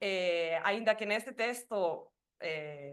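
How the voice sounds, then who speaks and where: With a Spanish accent, a woman talks at a medium pitch. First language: Spanish (speaking Portuguese). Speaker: doctoral researcher. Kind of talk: academic presentation. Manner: halting.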